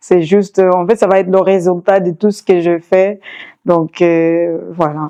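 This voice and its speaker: A woman's dark, mellow, medium-pitched voice, flat and monotone, at a fairly slow pace. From Mozambique, Maputo. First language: Changana (Shangana), then Portuguese (speaking French). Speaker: singer. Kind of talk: interview testimony. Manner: halting, many hesitations.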